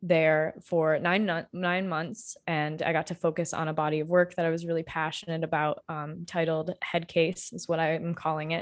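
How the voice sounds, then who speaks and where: A woman with an American accent speaks at a moderate pace in a fairly low, flat monotone. She hardly pauses, and the background is quiet. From Michigan (Marshall). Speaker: artist and art instructor. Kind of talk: interview conversation.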